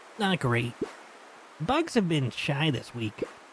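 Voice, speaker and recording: A put-on character voice at a low-to-middle pitch speaks at a fairly slow pace over clear background noise. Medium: game stream. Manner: gentle, earnest.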